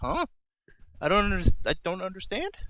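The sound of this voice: A man does a put-on character voice, gravelly and high-pitched for a man, at a fairly quick pace.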